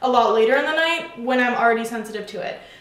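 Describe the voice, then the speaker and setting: A woman's high-pitched voice with audible room echo and noticeable background noise. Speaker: fitness vlogger. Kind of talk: casual product review vlog. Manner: casual, chatty.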